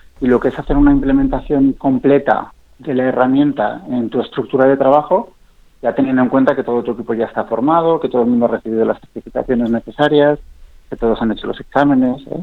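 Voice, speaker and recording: This man speaks at a very fast pace with fairly even intonation. His pitch is medium. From Spain, Zaragoza (English mother). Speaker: startup founder and CEO. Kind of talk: radio interview.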